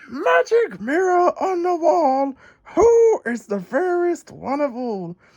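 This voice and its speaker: A woman's put-on character voice, high-pitched and fairly slow, with very wide pitch swings. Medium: read story. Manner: cold, imperious.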